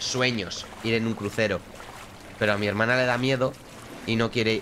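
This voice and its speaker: Light background noise sits under the recording. A man talks at a fairly quick pace. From Spain. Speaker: gaming streamer. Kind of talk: live gameplay commentary. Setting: live stream. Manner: casual, chatty. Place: home room. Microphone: studio mic.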